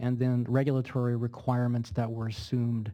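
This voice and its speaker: A man's somewhat breathy voice with a dark, mellow tone and monotone, flat intonation. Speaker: attorney. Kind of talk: legal cross-examination. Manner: fast.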